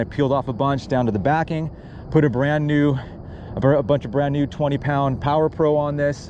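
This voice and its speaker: Noticeable background noise under a fairly quick delivery. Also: man. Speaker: fishing vlogger. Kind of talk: outdoor fishing vlog, casual talk-along. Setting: outdoors, on a paddle board on a lake. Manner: casual, stammering at times; fast.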